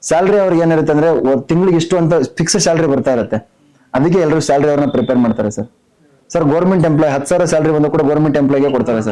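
A man's unremarkable speaking voice, fairly high in pitch, with very even loudness and ordinary pitch variation. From North Karnataka, Belagavi district. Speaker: businessman and reality show contestant. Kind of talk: interview.

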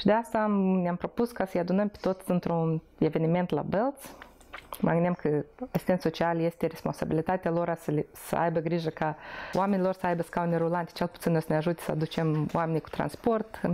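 At a fairly quick pace, a woman talks with fairly low pitch and fairly even intonation. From Moldova. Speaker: charity founder, former nurse; interviewee. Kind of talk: personal testimony interview. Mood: calm, reflective. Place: home room. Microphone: lapel.

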